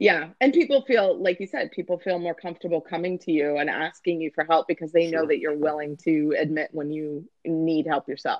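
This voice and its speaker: With a normal speaking voice, a woman talks at a fairly quick pace and fairly low pitch, with hardly any pauses and ordinary pitch variation. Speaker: podcast host. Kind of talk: casual interview.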